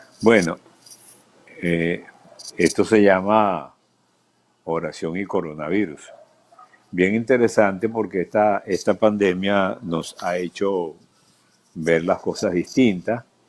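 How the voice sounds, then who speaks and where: A man speaks at a very slow pace with a very deep, low pitch. Long, frequent pauses break up his fairly even intonation. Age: 70s. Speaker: pastor. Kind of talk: live video interview.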